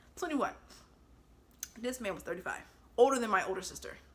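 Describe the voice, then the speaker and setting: A woman speaks in an animated tone with ordinary pitch variation. Noticeable background noise sits behind her. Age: 20s. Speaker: storytime vlogger. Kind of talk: casual storytelling.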